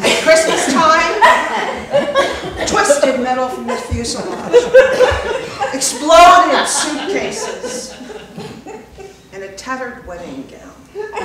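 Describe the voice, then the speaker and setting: The speech crawls at a very slow pace, broken by long, frequent pauses. Pitch swings very widely and loudness shifts in big swings, over noticeable background noise. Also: woman, high pitch for a woman. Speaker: stage performer. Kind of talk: storytelling memoir.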